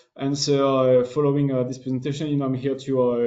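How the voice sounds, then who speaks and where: A man's medium-pitched voice in a French accent. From France. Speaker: business development manager. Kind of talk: webinar presentation. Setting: online webinar. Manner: halting, many fillers.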